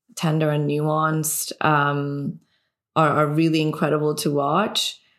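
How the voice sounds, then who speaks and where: A woman speaks with a Persian accent at a moderate pace. Her pitch is very deep and low. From Iran. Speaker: filmmaker. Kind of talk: casual chat.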